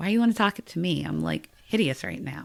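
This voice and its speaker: A woman with an American accent speaks with vocal fry in a very clean recording with a silent background. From US, Washington DC. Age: 30s. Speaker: podcast guest sharing life story. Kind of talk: testimony.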